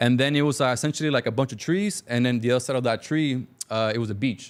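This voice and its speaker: A man in a Cuban-American accent, medium in pitch, with ordinary pitch variation. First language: Spanish. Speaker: business owner. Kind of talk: interview storytelling.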